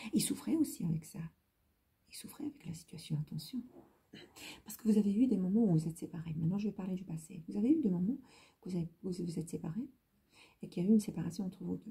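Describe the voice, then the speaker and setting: A woman speaks very fast in a medium-pitched, somewhat breathy voice, leaving long, frequent pauses. Her tone is dark and mellow, with lively intonation and big swings in loudness. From Lebanon. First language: Hebrew (speaking French). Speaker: tarot reader. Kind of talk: tarot reading video. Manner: halting, repetitive.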